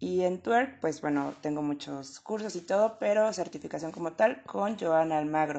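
A woman speaks at a moderate pace with lively intonation. Her pitch is very deep and low. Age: 20s. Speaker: pole dance instructor. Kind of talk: interview.

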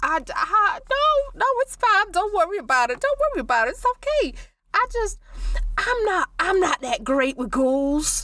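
A raised, projected voice with a bright, sharp tone swings very widely in pitch. The pace is fairly slow. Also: woman, extremely high pitch for a woman. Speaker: tabletop role-play player. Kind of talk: tabletop role-play session, in-character narration and casual chat. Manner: halting, stammering.

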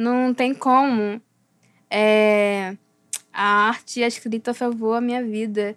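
On a very clean recording with a silent background, a woman with a fairly high pitch speaks very slowly in a flat monotone, leaving long, frequent pauses. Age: 20s. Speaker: philosophy student, visual artist and writer. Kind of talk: interview.

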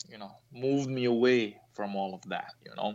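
A speaker with a Croatian accent talks at a fairly slow pace. The pitch varies in an ordinary way. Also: man. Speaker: fencing coach, former Olympian. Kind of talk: interview. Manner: halting, many fillers and repetitions.

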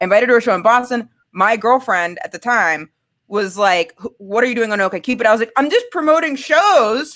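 Delivered at a fairly quick pace with lively intonation, this is a plain, everyday voice with an American accent. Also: woman, fairly high pitch for a woman. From Maine, US. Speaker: comedian. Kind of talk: casual chat.

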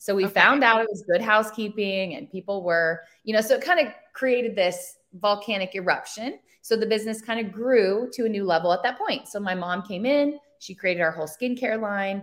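A woman talks at a fairly quick pace in a normal speaking voice. Her pitch is fairly high, with ordinary pitch variation. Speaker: brand owner and social media marketer. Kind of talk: casual interview chat.

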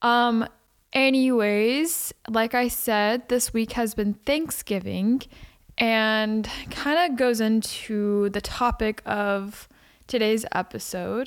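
Someone with a Texan accent speaks at a very slow pace with very even loudness and ordinary pitch variation, in a very clean recording with a silent background. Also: woman, fairly high pitch for a woman. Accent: Texan American. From Texas. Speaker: podcaster. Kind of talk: casual chat.

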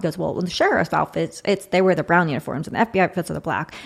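In a very clean recording with a silent background, a woman speaks in a fairly low, monotone, flat voice with vocal fry. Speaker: podcast host. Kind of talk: casual interview chat. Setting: studio.

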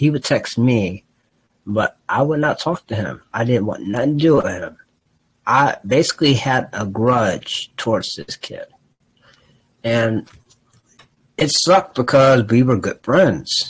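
With an American accent, a man speaks at a fairly slow pace and medium pitch, his somewhat breathy voice carrying lively intonation between long, frequent pauses. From Ohio, US Midwest. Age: 20s. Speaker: podcast co-host. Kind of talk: casual chat.

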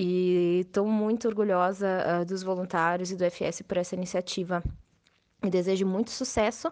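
Her intonation monotone and flat, a woman speaks at a moderate pace with a medium pitch and very even loudness. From Rio Grande do Sul, Brazil (Serra Gaúcha). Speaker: internal communications professional. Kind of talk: recorded voice message.

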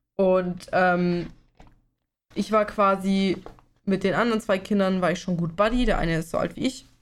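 A woman of medium pitch speaks at a moderate pace with fairly even intonation and long, frequent pauses. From Bavaria. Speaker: podcast co-host. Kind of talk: casual chat.

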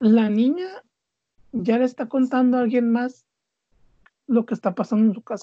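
At a fairly slow pace with long, frequent pauses, a woman talks in a high pitch with ordinary pitch variation and a dark, mellow tone, recorded dry and close with no echo. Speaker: podcast host. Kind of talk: casual chat.

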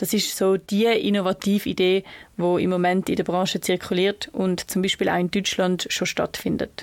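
A woman speaks with a Swiss accent at a medium pitch. Her pace is moderate and her intonation fairly even. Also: very even loudness. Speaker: student podcast host. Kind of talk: scripted narration.

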